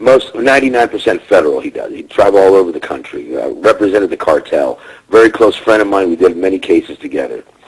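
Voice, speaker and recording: Over noticeable background noise, a man races along at a very fast pace with hardly any pauses and big swings in loudness. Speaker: criminal defense attorney. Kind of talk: radio interview.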